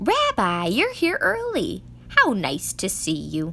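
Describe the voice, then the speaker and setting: A female-sounding, put-on character voice at a fairly slow pace over clear background noise. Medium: read story. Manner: warm, chatty.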